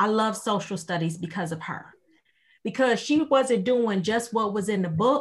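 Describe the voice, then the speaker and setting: A woman with a fairly high, somewhat breathy voice talks at a moderate pace with lively intonation. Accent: American. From Maywood, Illinois, US. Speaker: church communications minister. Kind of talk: casual chat.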